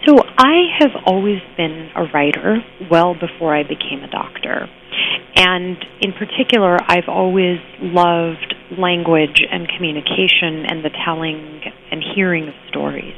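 A woman talks at a fairly slow pace in a fairly low pitch with ordinary pitch variation. Noticeable background noise runs underneath. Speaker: palliative care doctor and author. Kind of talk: interview. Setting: phone call. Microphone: buzz on the phone line at first.

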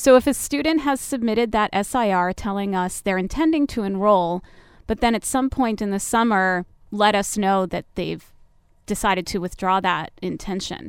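A woman with a normal speaking voice and medium pitch speaks at a moderate pace with ordinary pitch variation in a very clean recording with a silent background. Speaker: university admissions director. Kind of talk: radio interview. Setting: studio.

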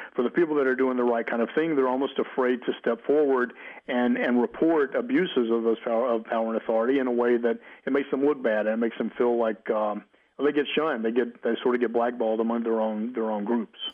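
Speaking very fast with fairly even intonation, the voice carries an Alabama accent. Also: man, medium pitch for a man, very even loudness. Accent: Southern US (Alabama). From US South, Mobile, Alabama. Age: 50s. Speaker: psychologist. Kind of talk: interview.

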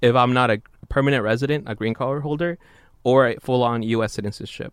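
At a moderate pace, a man speaks in a normal speaking voice of medium pitch with ordinary pitch variation. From San Jose, California (born in Mexico). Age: 20s. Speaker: engineering student researcher. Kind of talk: interview.

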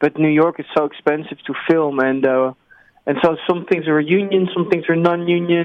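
With a Dutch accent, a man speaks at a high pitch. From Netherlands. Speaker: film director and writer. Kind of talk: interview. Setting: remote call. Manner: halting, with repetitions.

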